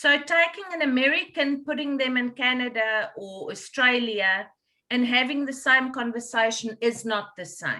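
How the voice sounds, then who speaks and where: A woman with a high pitch projects her raised voice at a moderate pace. Her tone is bright and sharp, and her intonation is lively. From South Africa. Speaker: podcast host. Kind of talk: casual interview.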